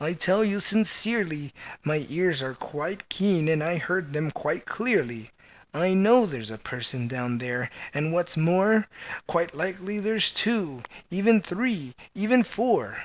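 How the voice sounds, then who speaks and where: A man puts on a character voice at a high pitch. He speaks at a fairly slow pace. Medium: read story. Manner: earnest, kindly.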